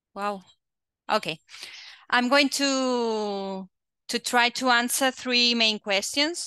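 Over a quiet background, a woman with a high pitch and a bright, sharp tone speaks at a very slow pace with long, frequent pauses and ordinary pitch variation, in a dry sound with no echo. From Catalonia, Spain. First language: Spanish or Catalan. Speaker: quality assurance agency head; webinar presenter. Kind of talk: presentation. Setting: video call. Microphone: headset.

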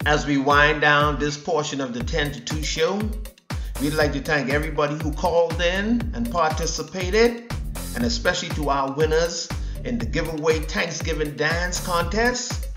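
With clear music in the background, a man keeps to a moderate pace as he talks. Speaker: radio show host, DJ. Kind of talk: radio show host air check. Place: studio.

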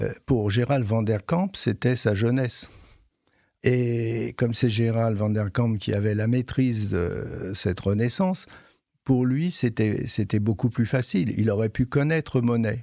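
Against a quiet background, a man with a dark, mellow tone and medium pitch speaks at a very slow pace with ordinary pitch variation. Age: 70s. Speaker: retired head gardener. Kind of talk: interview. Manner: halting.

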